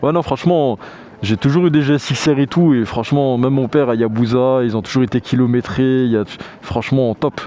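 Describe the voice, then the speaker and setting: With noticeable background noise behind him, a man talks at a fairly quick pace, keeping very even loudness and ordinary pitch variation. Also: medium pitch for a man. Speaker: motorcycle vlogger. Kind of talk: casual Q&A vlog. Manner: casual with many fillers.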